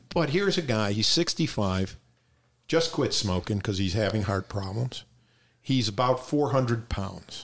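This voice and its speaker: With an American accent, a man talks at a moderate pace and medium pitch, his intonation lively. His voice is somewhat breathy, and the very clean recording has a silent background. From Detroit, Michigan. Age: 60s. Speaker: stand-up comedian. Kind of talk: casual chat.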